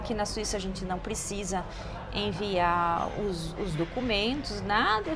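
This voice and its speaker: Amid noticeable background noise and audible room echo, a woman with a slight French accent speaks at a medium pitch with ordinary pitch variation. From southern Brazil (Rio Grande do Sul). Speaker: lawyer and translator. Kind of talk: interview. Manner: halting.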